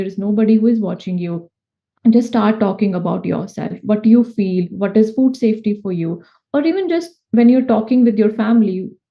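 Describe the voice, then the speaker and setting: At a moderate pace, a woman speaks in a somewhat breathy voice at a fairly high pitch, with ordinary pitch variation. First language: not English. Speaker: food safety consultant. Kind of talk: interview. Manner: halting.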